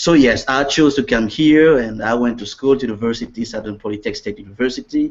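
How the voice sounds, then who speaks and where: Speaking in a Central African accent, the man has fairly even intonation. His pace is very fast. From Congo, Central Africa. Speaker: network marketing distributor. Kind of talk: interview. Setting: video call.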